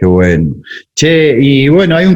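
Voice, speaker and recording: At a moderate pace, a man talks with an Argentine accent. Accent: Rioplatense Argentine Spanish. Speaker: music producer and podcast host. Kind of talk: interview conversation. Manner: casual.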